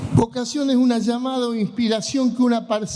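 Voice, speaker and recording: A man is speaking. Background noise is noticeable. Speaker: pastor. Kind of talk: sermon.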